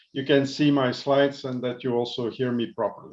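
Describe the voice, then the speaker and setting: This is a man speaking with a Dutch accent. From Belgium. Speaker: pharmaceutical company director. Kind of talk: presentation.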